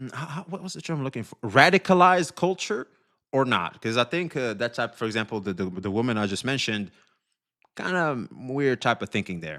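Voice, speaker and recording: A man's medium-pitched voice, bright and sharp, fairly quick, with very wide pitch swings and a dry, close sound with no echo. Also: very clean recording, silent background. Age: 40s. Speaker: streamer. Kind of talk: casual live stream commentary. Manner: casual, filler-heavy.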